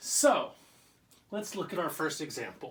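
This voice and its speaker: A man speaks in a raised, projected voice at a very slow pace, with noticeable background noise. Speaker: teacher. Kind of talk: lesson for children. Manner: casual, conversational.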